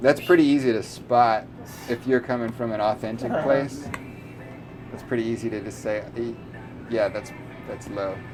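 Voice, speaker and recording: Music plays in the background as someone speaks at a moderate pace with long, frequent pauses. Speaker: podcast host. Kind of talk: interview conversation.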